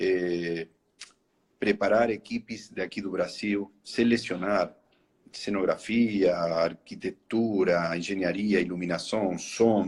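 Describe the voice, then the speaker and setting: At a very slow pace, the speaker uses fairly even intonation in a strong Spanish accent. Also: man, fairly low pitch for a man. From Argentina, Buenos Aires. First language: Spanish (speaking Portuguese). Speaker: horror attraction entrepreneur. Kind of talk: interview in a live stream. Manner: halting.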